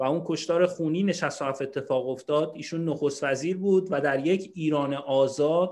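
With an ordinary speaking voice, this fairly high-pitched man talks at a moderate pace, with hardly any pauses and fairly even intonation. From Iran. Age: 30s. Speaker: political activist. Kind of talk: panel discussion.

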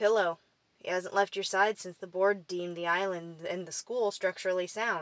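A plain read-aloud, its intonation fairly even throughout

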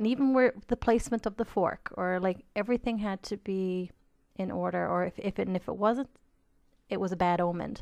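Against a quiet background, a woman speaks at a moderate pace. She has a Newfoundland accent and fairly even intonation. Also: dry, close sound with no echo. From Newfoundland, Canada. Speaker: podcast co-host, medium. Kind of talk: casual chat.

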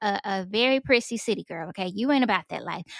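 Ordinary pitch variation and a fairly quick pace in a normal speaking voice, with a dry, close sound and no echo. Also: woman. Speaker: guest. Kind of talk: casual chat about faith.

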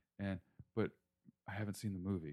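The man's tone is dark and mellow. He keeps his intonation fairly even. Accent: American. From Northern Virginia, near D.C. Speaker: film composer. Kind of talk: casual interview. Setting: home kitchen studio.

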